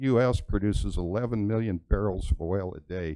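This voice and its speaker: At a moderate pace, a man speaks in a fairly low voice with a dark, mellow tone and ordinary pitch variation. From Wyoming. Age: 60s. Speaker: public commenter, mining operator. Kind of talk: public comment at meeting. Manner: halting.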